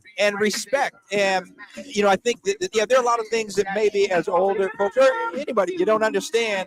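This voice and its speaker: Over music in the background, a man talks at a fairly quick pace in a high pitch, the sound dry and close with no echo. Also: ordinary pitch variation. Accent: American. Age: 60s. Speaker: school staff member. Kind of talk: casual chat. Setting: outdoors.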